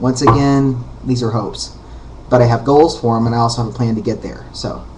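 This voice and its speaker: Amid noticeable background noise and audible room echo, a man of medium pitch talks at a fairly quick pace with monotone, flat intonation. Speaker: vlogger. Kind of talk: casual vlog monologue. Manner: hesitant, many fillers.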